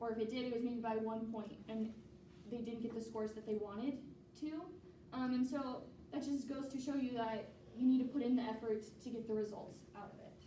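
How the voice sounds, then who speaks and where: Over noticeable background noise and audible room echo, the speech runs at a fairly quick pace in a monotone, flat intonation. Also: woman, fairly high pitch for a woman. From US Midwest, Iowa. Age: young. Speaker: test prep tutor. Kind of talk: lecture. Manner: fast; hesitant, many fillers.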